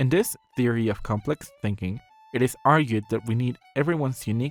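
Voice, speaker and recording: Over music in the background, a man with a medium pitch talks at a fairly quick pace with ordinary pitch variation, in a dry, close sound with no echo. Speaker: artist. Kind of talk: video essay narration. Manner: atypical speech, unusual phrasing.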